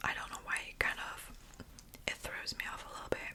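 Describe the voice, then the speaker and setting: Someone is whispering, with noticeable background noise behind them. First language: German. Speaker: ASMR youtuber. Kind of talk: whisper ramble. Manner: halting.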